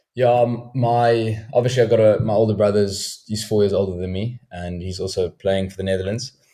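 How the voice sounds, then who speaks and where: A man with a South African accent speaks at a fairly quick pace with hardly any pauses. His voice is fairly low and dark, mellow in tone, with fairly even intonation. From South Africa, Cape Town. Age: 20s. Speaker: professional cricketer. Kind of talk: podcast interview.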